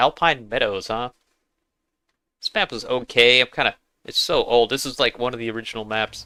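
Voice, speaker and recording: A man speaks at a medium pitch with a bright, sharp tone and fairly even intonation. He leaves long, frequent pauses on a very clean recording with a silent background. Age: 50s. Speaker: gaming live streamer. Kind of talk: live gameplay commentary chatting with viewers. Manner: casual, halting with fillers.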